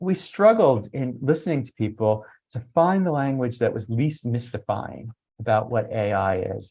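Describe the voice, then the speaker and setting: A man's somewhat breathy voice swings very widely in pitch. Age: 60s. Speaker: education researcher. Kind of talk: webinar presentation. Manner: conversational, some filler hesitations.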